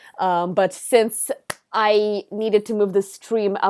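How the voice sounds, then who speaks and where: A woman with an Israeli accent is heard in a dry, close sound with no echo on a very clean recording with a silent background. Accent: Israeli accent, often mistaken for American. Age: 20s. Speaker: streamer. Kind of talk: casual live stream chat. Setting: live stream.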